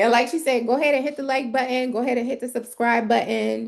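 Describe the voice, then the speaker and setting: With vocal fry, a woman speaks at a fairly high pitch. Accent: American. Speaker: resume writer. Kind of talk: live stream advice. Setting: livestream. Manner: fast.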